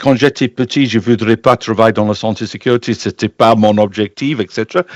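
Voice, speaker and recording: Against a quiet background, a man talks with ordinary pitch variation in a dry, close sound that has no echo. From northern England, Barton upon Humber, Lincolnshire. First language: English (speaking French). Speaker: health and safety expert. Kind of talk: interview. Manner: halting, many hesitations.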